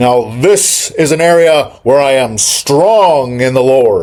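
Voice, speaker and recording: A man puts on a character voice, fairly high in pitch, with lively intonation, very even loudness and a fairly slow pace. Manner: preacherly, proclaiming.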